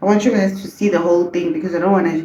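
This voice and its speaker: Audible room echo surrounds a woman's dark, mellow tone with ordinary pitch variation. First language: not English. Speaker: beauty vlogger. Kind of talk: casual vlog chat.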